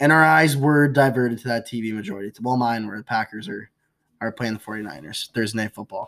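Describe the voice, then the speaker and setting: In a very clean recording with a silent background and a dry, close sound with no echo, a man with an American accent uses a normal speaking voice at a medium pitch, talking at a fairly quick pace with ordinary pitch variation and big swings in loudness. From outside the US. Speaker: podcast co-host. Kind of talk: casual chat.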